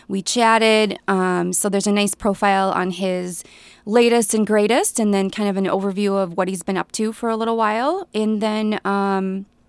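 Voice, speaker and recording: A woman's medium-pitched voice with an Upper Midwest accent, fairly even intonation and a moderate pace, in a very clean recording with a silent background. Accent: Upper Midwest (Minnesota). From central Minnesota. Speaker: newspaper reporter. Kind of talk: casual radio interview.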